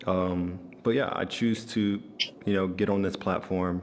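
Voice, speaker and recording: Monotone, flat intonation at a very slow pace. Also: man. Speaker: trading content creator. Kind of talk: casual talk to camera. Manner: calm, relaxed.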